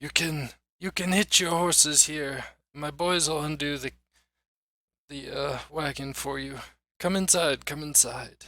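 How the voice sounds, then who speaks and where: Putting on a raspy character voice, a man speaks at a moderate pace with fairly high pitch and long, frequent pauses. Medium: actual play. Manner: patient, welcoming.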